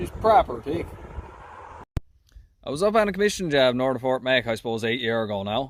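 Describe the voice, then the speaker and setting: A man with a Newfoundland accent talks at a fairly quick pace, with very wide pitch swings and long, frequent pauses. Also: medium pitch for a man. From Newfoundland, Canada. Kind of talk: casual talk to camera.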